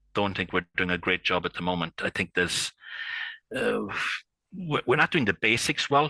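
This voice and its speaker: Recorded against a quiet background, the voice has a dry, close sound with no echo. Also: man. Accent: strong Irish. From Ireland. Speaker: IP consultant. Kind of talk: podcast interview. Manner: hesitant, many fillers and repetitions.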